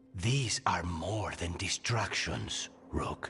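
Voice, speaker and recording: A man's put-on character voice, very deep and low in pitch, at a very slow pace, with clear background noise. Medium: video game. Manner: terse, brooding.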